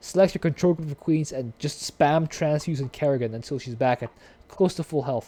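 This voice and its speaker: A dark, mellow tone with ordinary pitch variation moves at a moderate pace, dry and close with no echo on a very clean recording with a silent background. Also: man. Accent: non-native. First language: not English. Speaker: gaming YouTuber. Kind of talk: casual commentary reading wiki aloud. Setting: voice call with guest.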